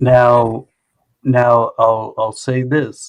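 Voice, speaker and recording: Someone with an American accent speaks at a very slow pace. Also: man. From Oklahoma, Tulsa. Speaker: live-stream community regular. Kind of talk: casual chat.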